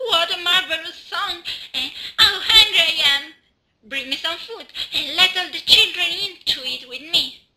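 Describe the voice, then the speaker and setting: A woman's put-on character voice, extremely high in pitch, at a moderate pace. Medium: read story.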